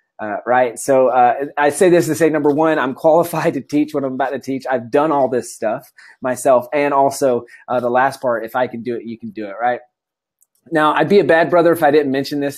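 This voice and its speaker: A fairly high-pitched man with an American accent, at a fairly quick pace with ordinary pitch variation. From US South, South Carolina. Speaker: entrepreneur and online course instructor. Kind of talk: webinar presentation. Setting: live webinar, video stream. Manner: fast; many filler words.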